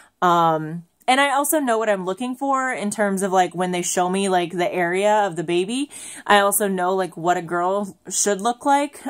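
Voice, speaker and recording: A woman at a medium pitch, moderate pace and lively intonation, on a very clean recording with a silent background. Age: 30s. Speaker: family vlogger. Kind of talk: casual vlog monologue. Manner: halting, many filler ums.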